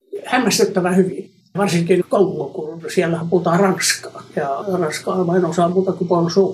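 A man talks at a fairly slow pace in a high pitch for a man, with fairly even intonation. Noticeable background noise runs underneath. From Finland. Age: 80s+. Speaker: gemologist. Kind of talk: interview.

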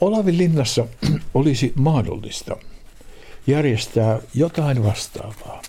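Speaking at a fairly slow pace with lively intonation, a man's voice shows vocal fry. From Finland, North Karelia. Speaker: retired organist and opera festival director. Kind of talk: interview. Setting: at home, living room.

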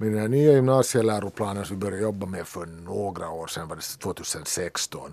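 With a dark, mellow tone and fairly low pitch, a man speaks at a fairly quick pace, showing ordinary pitch variation and big swings in loudness. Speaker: teacher. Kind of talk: casual chat.

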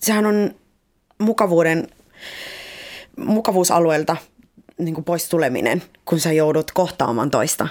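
Speaking with a Spanish accent, a woman uses lively intonation at a fairly slow pace. Her speech has long, frequent pauses. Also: fairly low pitch for a woman. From Colombia, Cali; Finland from age 11. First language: Spanish (speaking Finnish). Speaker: guest. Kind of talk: casual chat. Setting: studio. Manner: outgoing, not introverted.

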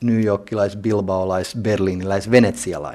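A man speaks in an unremarkable speaking voice at a moderate pace. His pitch is fairly low and his intonation fairly even. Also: very clean recording, silent background. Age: 40s. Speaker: art museum director. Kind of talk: interview.

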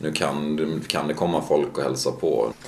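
Noticeable background noise is present. A man is the one talking. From Sweden. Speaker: ski bum. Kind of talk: interview.

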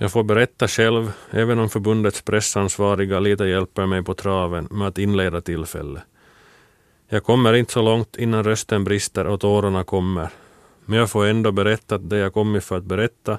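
Fairly even intonation in a dry, close sound with no echo. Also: man, very clean recording, silent background. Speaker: former shot putter. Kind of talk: scripted narration.

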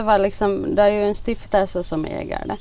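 A woman's medium-pitched voice proceeds at a moderate tempo. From Finland, Swedish-speaking Nyland (Bromarv). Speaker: village shop owner. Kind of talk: interview.

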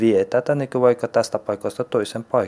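Fairly slow speech from a man, medium in pitch, with ordinary pitch variation. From Afghanistan, raised partly in Iran. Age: 20s. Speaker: vocational student. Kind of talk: interview testimony. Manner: halting.

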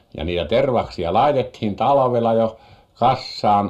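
A man talks at a very slow pace with vocal fry. His pitch swings very widely. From Finnish Lapland, Muonio. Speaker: farmer and fisherman. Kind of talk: radio interview.

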